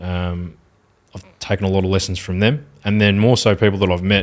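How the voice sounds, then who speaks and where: A man's very deep, low voice with an Australian accent, moderate pace and fairly even intonation on a very clean recording with a silent background. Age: 20s. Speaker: social media marketing agency owner. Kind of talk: podcast interview answer. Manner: articulate.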